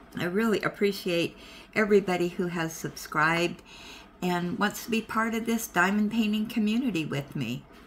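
With light background noise present, a woman talks at a moderate pace, her pitch varying in an ordinary way. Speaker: craft hobby vlogger. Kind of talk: casual vlog chat. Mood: warm, welcoming, relaxed. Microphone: phone near.

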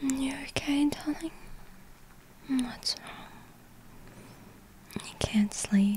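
Very slow, whispered speech from a woman, broken by long and frequent pauses. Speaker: ASMR roleplay performer. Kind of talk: ASMR girlfriend roleplay. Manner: whispered, soft-spoken. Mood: tender, soothing. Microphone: studio mic.

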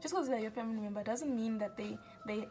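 A woman speaks with fairly even intonation over clear music in the background. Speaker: self-help vlogger. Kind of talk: casual vlog chat. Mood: earnest, encouraging. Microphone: phone near.

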